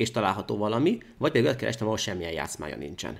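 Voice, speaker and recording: A man talks at a very fast pace with vocal fry. His pitch is fairly low. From Hungary. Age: 30s. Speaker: chess grandmaster; guest. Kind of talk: chess game analysis interview. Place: studio.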